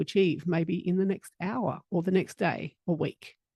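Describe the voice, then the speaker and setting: A woman speaks in a calm, dark and mellow tone at a fairly low pitch, with a dry, close sound with no echo against a quiet background. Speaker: roving reporter. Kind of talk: scripted segment report.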